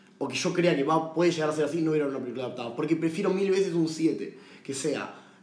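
There is audible room echo around this man's voice. He has a fairly high pitch with ordinary pitch variation. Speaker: podcast co-host, film commentator. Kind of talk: casual chat.

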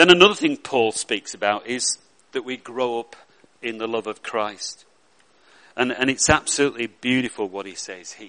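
Someone with a Lancashire accent is recorded with a dry, close sound and no echo. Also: man. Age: 60s. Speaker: pastor. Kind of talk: sermon. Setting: church.

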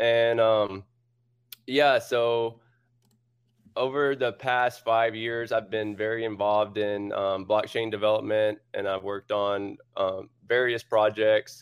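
A man's fairly low, monotone voice with flat intonation at a very slow pace. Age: 30s. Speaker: blockchain startup co-founder. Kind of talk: interview. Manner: halting.

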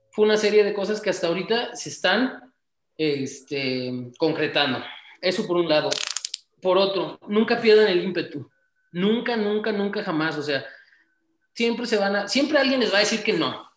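There is audible room echo as a man with a high pitch and lively intonation speaks at a moderate pace with long, frequent pauses. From Mexico, Tamaulipas. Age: 20s. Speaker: entrepreneur. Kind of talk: interview.

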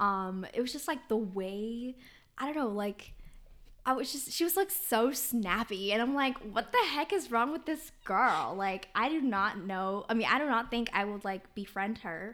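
A woman with an American accent has a normal speaking voice, fairly high in pitch. She talks at a moderate pace with lively intonation. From Sacramento, California; Minnesota from eighth grade. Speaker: podcast co-host. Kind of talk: casual chat.

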